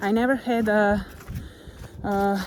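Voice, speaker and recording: Noticeable background noise sits behind a woman talking with a Slovenian accent. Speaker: motivational vlogger. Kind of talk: casual vlog monologue. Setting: outdoors, walking on a forest trail.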